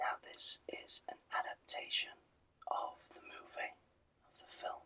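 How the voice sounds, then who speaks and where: Someone whispers in a gentle tone at a fairly slow pace, with big swings in loudness. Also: man. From Britain. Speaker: ASMR channel host. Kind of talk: casual ASMR introduction to camera. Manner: whispered, gentle.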